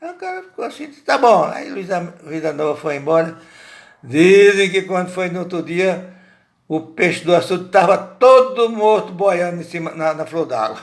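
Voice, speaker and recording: At a moderate pace, a man speaks with a high pitch, lively intonation and big swings in loudness. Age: 80s+. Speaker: family storyteller. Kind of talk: oral storytelling. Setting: home recording by a window. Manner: halting, frequent repetitions.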